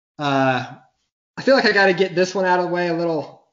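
A man speaks with a Southern US accent in a high voice. His pitch variation is ordinary. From US South, Mobile, Alabama. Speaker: podcast guest, sports fan. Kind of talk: casual chat.

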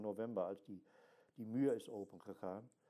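Speaking at a moderate pace, a man uses a medium-pitched, dark, mellow voice with ordinary pitch variation. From Germany. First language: German (speaking Dutch). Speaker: archaeologist, mental health patient. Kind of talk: interview. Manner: halting.

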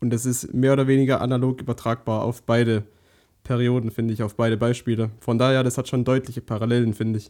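Very fast, flat, monotone speech from a man at medium pitch with a dark, mellow tone, on a very clean recording with a silent background. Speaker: podcast co-host. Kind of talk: casual chat.

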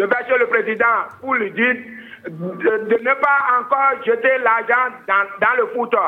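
Over noticeable background noise, a man speaks at a very slow pace with extremely high pitch, very even loudness and fairly even intonation. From Benin, Ouidah. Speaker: caller. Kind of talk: phone call to radio show. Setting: phone call.

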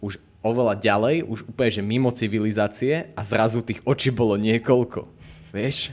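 Speaking at a moderate pace and medium pitch, a man has fairly even intonation and an unremarkable speaking voice. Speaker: youtuber and podcast host. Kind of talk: casual chat.

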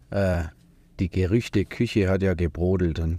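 A man's very deep, low voice with a dark, mellow tone, fairly even intonation, and a fairly slow pace on a very clean recording with a silent background. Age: 30s. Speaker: tradesman, business owner. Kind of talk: casual chat. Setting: studio. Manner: hesitant, many fillers.

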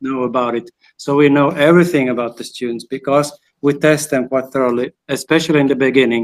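A man talks at a fairly quick pace with a fairly high pitch. His intonation stays monotone and flat. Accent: Swedish. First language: Swedish. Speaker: teacher. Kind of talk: casual interview. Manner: halting.

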